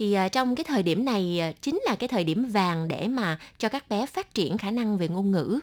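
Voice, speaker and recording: A woman's medium-pitched voice carries lively intonation at a fairly unhurried pace. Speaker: radio host. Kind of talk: radio talk show with guests. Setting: studio. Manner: animated.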